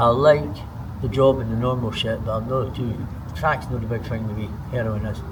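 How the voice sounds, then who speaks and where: Noticeable background noise behind a man at medium pitch, ordinary pitch variation and a fairly quick pace. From Scotland. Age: 60s. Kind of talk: interview answer. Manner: casual, conversational.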